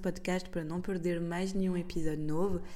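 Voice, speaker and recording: A woman with a French accent at a moderate pace, her fairly low, dark, mellow voice in a monotone, flat intonation, with audible room echo. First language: French (speaking Portuguese). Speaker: podcast host. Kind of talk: scripted outro; casual chat.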